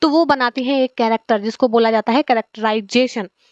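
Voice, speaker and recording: Her intonation fairly even, a woman speaks at a high pitch. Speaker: teacher for exam preparation. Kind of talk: lecture. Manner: conversational, with fillers.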